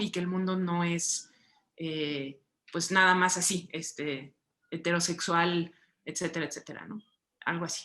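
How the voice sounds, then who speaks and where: In a Mexican accent, a woman with a bright, sharp tone and fairly low pitch speaks at a fairly slow pace with fairly even intonation. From Mexico. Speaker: writer and visual artist. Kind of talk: book club conversation. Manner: hesitant, many fillers.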